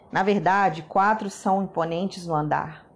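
A woman talks very slowly, her voice sitting at a medium pitch. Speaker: Bible reader. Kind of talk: scripture reading.

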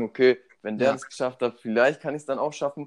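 With fairly even intonation, a man talks at a medium pitch in an ordinary speaking voice. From Germany, Munich (Bavaria). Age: 20s. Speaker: student and startup founder. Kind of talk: casual interview.

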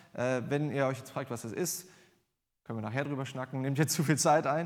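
A man with a plain, everyday voice, at a fairly quick pace and with ordinary pitch variation. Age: 20s. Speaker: lay preacher. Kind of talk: sermon. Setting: church.

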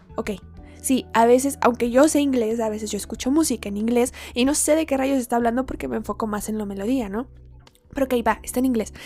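Quiet and high-pitched, a woman talks at a fairly quick pace with ordinary pitch variation. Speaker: podcaster and tarot reader. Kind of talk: casual monologue. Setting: at home. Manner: quiet, recorded at low volume. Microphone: recorded too quietly.

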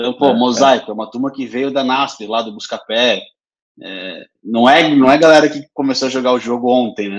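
A man with an unremarkable speaking voice and medium pitch talks at a fairly quick pace. His intonation is fairly even, though his loudness swings widely. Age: 30s. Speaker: podcast host, business development. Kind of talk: casual interview.

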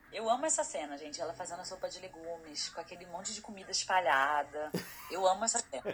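A woman speaks at a very fast pace with a medium pitch. Her loudness swings widely over background music. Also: lively intonation. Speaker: photographer and master's student. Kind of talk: casual chat.

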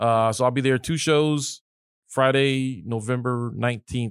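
Speaking at a fairly slow pace, a man has a medium-pitched, normal speaking voice. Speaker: comedian podcast host. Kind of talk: casual banter chat. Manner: joking, crude humor.

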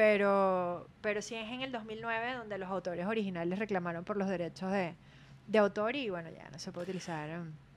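A woman speaks in an ordinary speaking voice at medium pitch with ordinary pitch variation. Her loudness swings a lot. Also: fairly quick pace. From Venezuela (Maracay, Aragua). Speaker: podcast co-host, former beauty pageant contestant. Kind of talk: casual chat.

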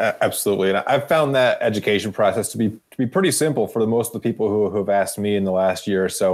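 Speaking at a very fast pace with hardly any pauses, a man keeps a fairly low pitch and ordinary pitch variation. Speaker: podcast host. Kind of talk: casual interview.

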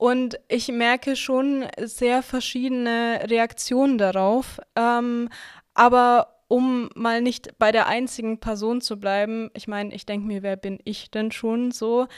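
Monotone, flat intonation at a very slow pace on a very clean recording with a silent background. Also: woman, fairly high pitch for a woman. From Nuremberg, Franconia, Germany; Russian family. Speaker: student activist. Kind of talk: panel discussion.

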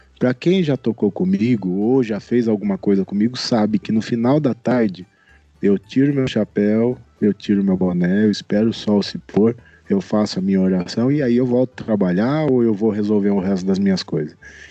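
A man's fairly low voice with ordinary pitch variation and very even loudness, at a moderate pace over music in the background. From interior of São Paulo state. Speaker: singer. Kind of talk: casual chat.

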